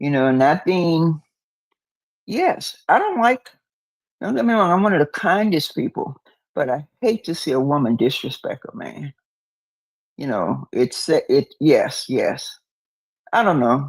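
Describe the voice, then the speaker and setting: A woman speaks at a fairly slow pace with long, frequent pauses, in a dry, close sound with no echo. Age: 60s. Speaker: caller. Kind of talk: casual chat. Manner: halting.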